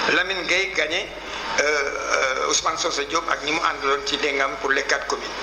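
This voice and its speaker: With very even loudness, a man talks at a moderate speed amid noticeable background noise. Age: 80s+. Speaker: veteran politician. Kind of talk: radio interview.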